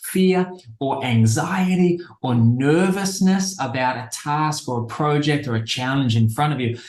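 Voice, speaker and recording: A man speaks with an Australian accent, his pitch fairly high and his tone somewhat breathy. His pitch varies in an ordinary way, and the room echo is audible. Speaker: behavior change expert, speaker. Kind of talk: interview.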